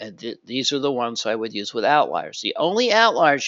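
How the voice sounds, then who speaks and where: Lively intonation carries a man's fairly high-pitched voice. He speaks at a moderate pace. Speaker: market trading analyst. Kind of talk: tutorial. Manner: halting, many fillers and restarts.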